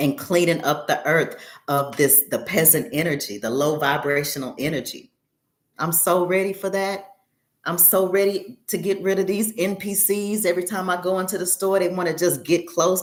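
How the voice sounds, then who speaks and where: A woman's medium-pitched voice, with ordinary pitch variation, proceeds at a moderate pace. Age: 50s. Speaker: astrology teacher. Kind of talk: live stream class Q&A. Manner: animated.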